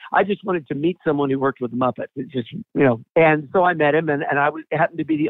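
A man with an American accent has an unremarkable speaking voice, fairly high in pitch with ordinary pitch variation. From US South, Atlanta. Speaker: puppeteer. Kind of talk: interview.

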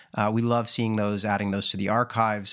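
A man speaks with a General American accent in a fairly low pitch. The recording is very clean, with a silent background. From United States. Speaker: podcast host, admissions consultant. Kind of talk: casual conversational podcast discussion. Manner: conversational, hesitant with fillers.

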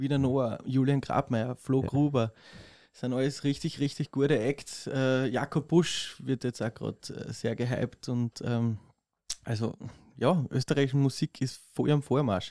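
An unremarkable speaking voice from a man, medium in pitch and fairly slow, with fairly even intonation, big swings in loudness and a dry, close sound with no echo. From Austria, southeastern Styria. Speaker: drummer and music producer. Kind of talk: casual chat.

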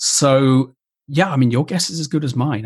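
The man sounds somewhat breathy, talking fairly quickly with ordinary pitch variation. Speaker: designer and digital ethics speaker. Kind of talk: casual interview conversation.

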